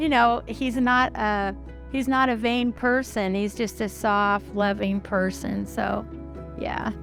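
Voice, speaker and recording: A woman speaks very slowly as music plays in the background. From Oklahoma, raised in California. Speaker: retired preschool teacher. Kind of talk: interview answer.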